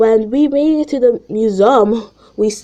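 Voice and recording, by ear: Pitch moves with ordinary variation. The reading aloud is done in a natural voice.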